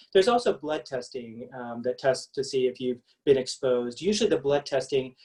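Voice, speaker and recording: A man's dark, mellow voice in a Kentucky accent, at a medium pitch with ordinary variation and a very fast pace. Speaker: pediatric allergist and immunologist. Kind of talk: medical webinar presentation. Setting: virtual event.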